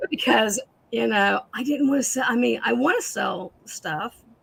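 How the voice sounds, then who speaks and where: A woman speaks over noticeable background noise. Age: 50s. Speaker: antiques reseller. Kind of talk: live sale stream chat. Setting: livestream. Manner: halting.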